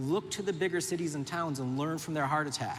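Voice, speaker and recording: A man's fairly high voice carries audible room echo. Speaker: urban planner. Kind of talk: conference talk. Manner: fast; animated.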